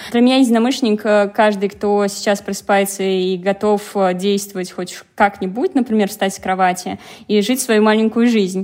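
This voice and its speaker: A woman with an ordinary speaking voice, medium pitch, moderate pace and fairly even intonation. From Penza, Russia. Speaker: learning assistant, former architect. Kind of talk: casual chat.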